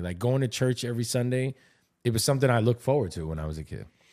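The man's tone is dark and mellow, his pace very fast. The recording is very clean, with a silent background. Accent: New York. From New York. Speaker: podcast co-host. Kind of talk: casual chat.

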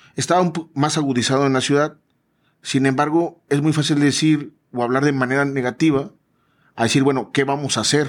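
A man's plain, everyday voice, fairly high in pitch, with fairly even intonation and a fairly quick pace, in a very clean recording with a silent background. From Veracruz, Mexico. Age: 40s. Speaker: business consultant and event organizer. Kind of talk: casual interview. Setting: studio.

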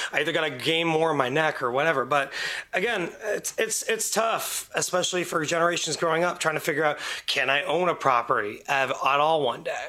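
Fairly quick speech at very even loudness, with ordinary pitch variation over noticeable background noise. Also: man, fairly high pitch for a man. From Windsor, Ontario, Canada. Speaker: podcast guest, radio show colleague. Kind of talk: casual chat.

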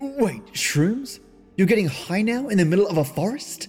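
Using a put-on character voice, a man speaks high at a moderate pace with big pitch swings, a slightly mellow tone and a slightly husky edge, over faint music in the background.

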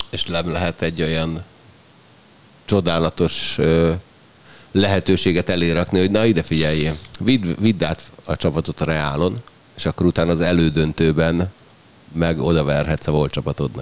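A man talks in a very deep, low voice at a moderate pace. His intonation stays fairly even, broken by long, frequent pauses. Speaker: sports podcast host. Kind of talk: casual chat.

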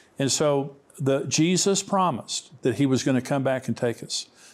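A man with an ordinary speaking voice talks at a moderate pace and fairly high pitch. The recording is very clean, with a silent background. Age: 60s. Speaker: Bible teacher and author. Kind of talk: interview on end-times prophecy.

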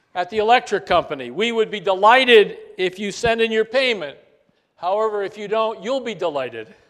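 Fairly quick speech from a man, high in pitch, with ordinary pitch variation. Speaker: pastor. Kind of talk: short devotional anecdote, told as a gentle storytelling parable. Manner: warm, measured, folksy storyteller; light-hearted, chuckling humor.

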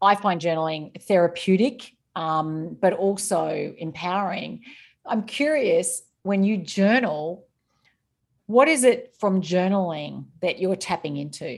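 A woman with an Australian accent speaks at a medium pitch and a fairly slow pace. Her intonation is lively, and the background is quiet. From Australia, rural Victoria. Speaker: author. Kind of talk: interview. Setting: remote call.

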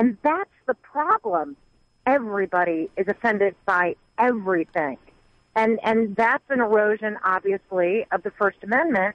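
A woman with a normal speaking voice and an American accent, fairly high in pitch, at a moderate pace, with lively intonation and very even loudness. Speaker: caller. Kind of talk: call-in talk radio. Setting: phone call.

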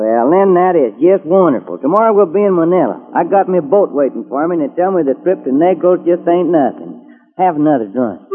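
A man with a high pitch talks with lively intonation and hardly any pauses. Noticeable background noise runs underneath. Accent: Texas. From Texas. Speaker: radio drama character. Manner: folksy, jovial.

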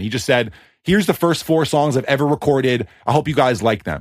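A normal speaking voice from a man with an American accent, medium in pitch, with lively intonation. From US East Coast. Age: 30s. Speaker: music producer. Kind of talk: casual chat. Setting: remote recording.

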